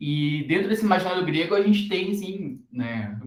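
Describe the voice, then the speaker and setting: A man's high voice at a fairly slow pace, with very wide pitch swings and audible room echo. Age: 30s. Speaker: university lecturer. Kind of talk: recorded lecture. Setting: recorded class video. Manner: hesitant, many fillers.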